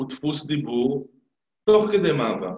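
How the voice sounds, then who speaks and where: A man's very slow, somewhat breathy voice, fairly high in pitch, with very wide pitch swings. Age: 50s. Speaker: stuttering therapist. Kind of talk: interview.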